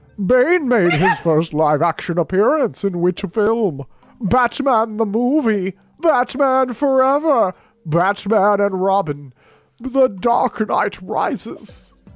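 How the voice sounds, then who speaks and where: At a fairly slow pace, the speaker performs a put-on character voice pitched fairly high. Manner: menacing.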